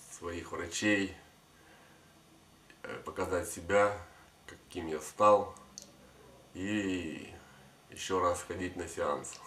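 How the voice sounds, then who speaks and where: A man speaks at a very slow pace in a very deep, low voice, with long, frequent pauses. His intonation is monotone and flat, set against light background noise and audible room echo. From Kyiv, Ukraine. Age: 20s. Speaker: former drug addict, clinic patient. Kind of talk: testimonial to camera. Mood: calm, grateful. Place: office.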